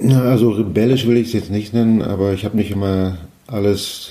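Flat and monotone, a man speaks in a dark, mellow tone. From East Germany, Mecklenburg and Brandenburg (Greifswald, Frankfurt an der Oder). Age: 50s. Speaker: trained horticultural worker recalling the fall of the Wall. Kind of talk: interview testimony. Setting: at the host's home.

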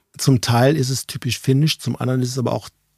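The somewhat breathy voice moves at a fairly quick pace. The recording is very clean with a silent background and a dry, close sound with no echo. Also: man. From Ruhr area, Germany (near Dortmund). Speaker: managing director of a safety shoe company. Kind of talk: casual interview. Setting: basement studio with small audience.

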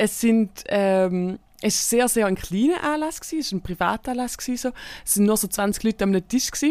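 In a Swiss accent, a woman with a fairly high pitch talks at a moderate pace on a very clean recording with a silent background. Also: lively intonation. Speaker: podcast co-host, comedian. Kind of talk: casual chat.

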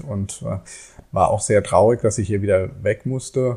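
Medium pitch from a man, with ordinary variation in pitch. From Germany, Frankfurt. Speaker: author and IT teacher. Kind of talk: casual interview. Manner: halting, many fillers.

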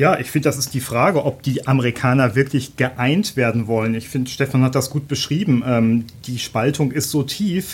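At a moderate pace and with hardly any pauses, a man speaks at a medium pitch in a somewhat breathy voice with ordinary pitch variation. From Germany. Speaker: newspaper journalist. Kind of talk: podcast interview. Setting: studio.

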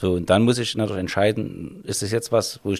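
The delivery is fairly quick, with fairly even intonation. It is an ordinary speaking voice. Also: man. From Vogtland, Saxony. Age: 50s. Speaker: police officer. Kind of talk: interview.

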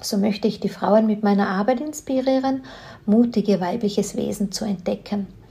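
A woman with a plain, everyday voice talks at a moderate pace, with ordinary pitch variation. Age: 50s. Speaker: podcast host. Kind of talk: scripted intro and outro; interview. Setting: video call.

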